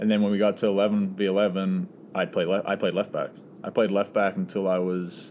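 In a New Zealand accent, a man with a fairly low pitch talks at a moderate pace, with very even loudness and monotone, flat intonation. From New Zealand, Auckland. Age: 20s. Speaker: professional soccer player. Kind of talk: casual chat.

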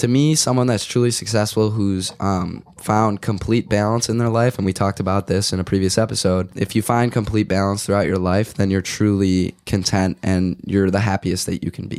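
A man with a slightly mellow tone talks in fairly even intonation on a very clean recording with a silent background. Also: fairly low pitch for a man, moderate pace, few pauses.

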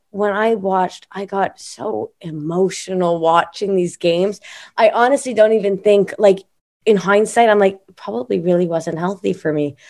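A woman speaks at a moderate pace and medium pitch with ordinary pitch variation, in an ordinary speaking voice. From Montreal, Canada. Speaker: singer-songwriter. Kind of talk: casual interview chat.

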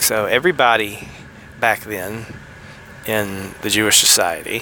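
Someone speaks with a Southern US accent over noticeable background noise. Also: man. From US South, Tennessee. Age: 40s. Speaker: podcast host. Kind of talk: solo podcast monologue on theology. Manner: usually excitable, holding back.

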